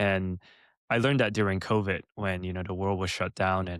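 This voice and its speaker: A man speaks at a fairly low pitch. The sound is dry and close with no echo, very clean, with a silent background. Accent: Californian. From Los Angeles area, California. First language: Mandarin. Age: 30s. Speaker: entrepreneur. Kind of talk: interview.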